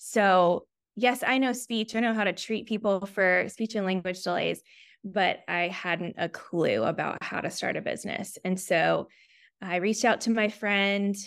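A woman with an American accent speaks in an ordinary speaking voice at a fairly slow pace, her pitch medium and her intonation fairly even. The recording is very clean, with a silent background. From US South, Chattanooga, Tennessee. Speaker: speech therapist, practice owner. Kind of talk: interview.

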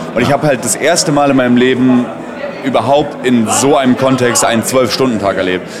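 Noticeable background noise and an audible room echo around a fairly quick male voice of medium pitch. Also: ordinary pitch variation. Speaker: esports caster. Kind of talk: casual interview. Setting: event venue lobby.

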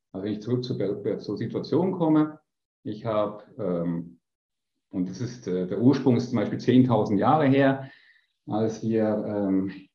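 At a fairly slow pace, a man speaks. Room echo can be heard. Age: 50s. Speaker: business coach. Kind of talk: interview.

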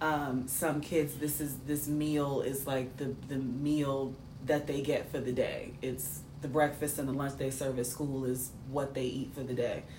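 Through noticeable background noise and audible room echo, a woman with an American accent speaks slowly in a very deep, low voice with monotone, flat intonation. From New York City. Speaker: podcast co-host. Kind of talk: casual chat.

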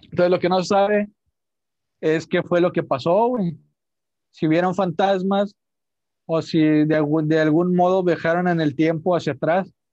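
A man with a Mexican accent speaks at a high pitch, keeping very even loudness and fairly even intonation, with long, frequent pauses. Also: fairly slow pace. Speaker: podcast host. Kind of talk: storytelling; casual chat.

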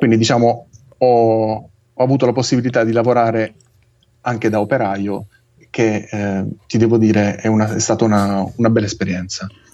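A man's flat, monotone delivery, broken by long, frequent pauses. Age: 30s. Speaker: engineer. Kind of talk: casual interview.

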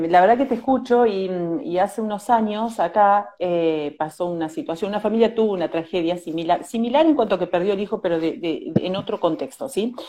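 With a Rioplatense accent, the voice has a dark, mellow tone and lively intonation. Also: woman. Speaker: journalist host. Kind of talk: interview. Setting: video call.

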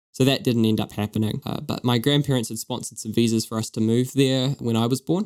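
Talking at a very fast pace with hardly any pauses, a man with a New Zealand accent uses a medium pitch and fairly even intonation in a dry, close sound with no echo. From New Zealand, East Auckland. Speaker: podcast co-host. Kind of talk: casual chat.

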